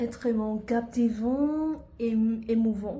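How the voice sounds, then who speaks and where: With audible room echo, a woman speaks in a fairly high voice with ordinary pitch variation. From Vietnam. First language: Vietnamese (speaking French). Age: 20s. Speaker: university student. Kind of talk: self-presentation video.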